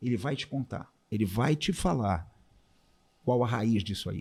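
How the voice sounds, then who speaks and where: Speaking fairly slowly at a medium pitch, a man uses lively intonation in a somewhat breathy voice. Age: 60s. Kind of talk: testimony.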